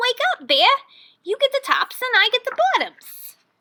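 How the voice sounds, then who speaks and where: Squeaky and at an extremely high pitch, a woman speaks in a put-on character voice. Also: moderate pace. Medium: read story. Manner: cheerful, smooth-talking.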